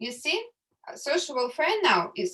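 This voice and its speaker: A woman speaks at a moderate pace in a Russian accent. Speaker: economics tutor. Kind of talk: lecture. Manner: halting.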